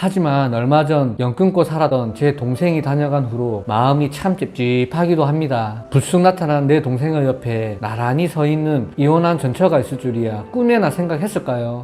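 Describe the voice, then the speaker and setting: A man with an ordinary speaking voice, lively intonation and hardly any pauses. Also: fairly high pitch for a man, moderate pace. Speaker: story narrator. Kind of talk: story reading.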